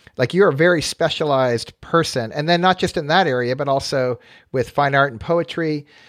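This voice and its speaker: Here is a man with an American accent, using an ordinary speaking voice at a fairly high pitch and ordinary pitch variation. He talks at a fairly quick pace on a very clean recording with a silent background. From US West Coast. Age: 50s. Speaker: podcast host. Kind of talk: interview conversation.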